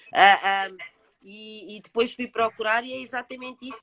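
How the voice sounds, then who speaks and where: Woman's bright, sharp voice at a fairly high pitch and moderate pace, ordinary pitch variation, dry, close sound with no echo. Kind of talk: casual chat.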